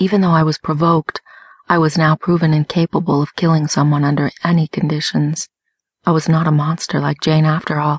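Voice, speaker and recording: At a fairly quick pace, a woman delivers a dramatic tone in a very deep, low, somewhat breathy voice with monotone, flat intonation, very even loudness and a dry, close sound with no echo. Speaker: audiobook narrator. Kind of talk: dramatic audiobook narration, first-person female lead with voiced dialogue. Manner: expressive, dramatic, voicing different characters.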